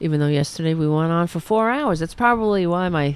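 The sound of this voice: A woman speaks at a fairly quick pace with lively intonation. Her pitch is fairly low, and her tone is clear and smooth.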